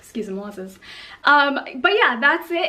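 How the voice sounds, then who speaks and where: This is a woman's voice. Noticeable background noise runs underneath it. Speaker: model and vlogger. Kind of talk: casual talking video. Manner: fast.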